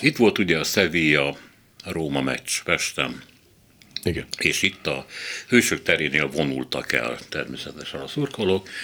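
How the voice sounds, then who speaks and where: A man speaks at a fairly slow pace with long, frequent pauses, his very deep, low voice carrying vocal fry. His tone is bright and sharp, with ordinary pitch variation. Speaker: radio host. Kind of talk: panel discussion.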